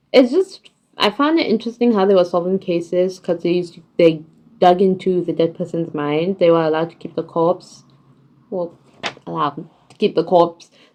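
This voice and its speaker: A woman's dark, mellow tone at a fairly low pitch, fairly quick pace, ordinary pitch variation and big swings in loudness. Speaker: vlogger. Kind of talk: casual TV series ranking monologue. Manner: casual, hesitant with fillers.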